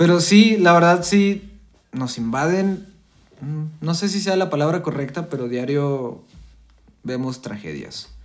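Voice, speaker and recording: A man speaks with a Mexican accent and ordinary pitch variation. Audible room echo is heard. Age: 20s. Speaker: podcast co-host. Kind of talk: casual chat.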